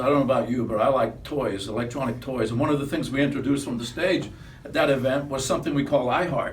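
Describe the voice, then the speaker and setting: A man talking very fast at a fairly high pitch, with noticeable background noise and audible room echo. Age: 70s. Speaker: company founder. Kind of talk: casual chat. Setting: office.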